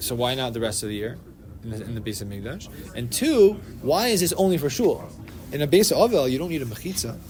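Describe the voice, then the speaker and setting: With audible room echo, the speech races at a very fast pace, with very wide pitch swings and big swings in loudness. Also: man, medium pitch for a man. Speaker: Torah class teacher. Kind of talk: religious study class discussion.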